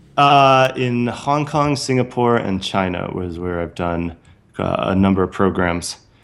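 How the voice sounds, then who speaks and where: The speaker has a Californian accent and lively intonation. The pace is fairly slow. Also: man, medium pitch for a man. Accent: General American (Californian). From US West Coast (San Francisco Bay Area). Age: 30s. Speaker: author and entrepreneur. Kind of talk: casual interview.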